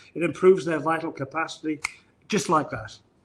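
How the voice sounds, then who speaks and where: Speaking in a northern English accent, the man has a fairly high pitch. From northern England. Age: 60s. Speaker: chiropractor. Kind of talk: live-streamed interview. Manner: halting, many repetitions.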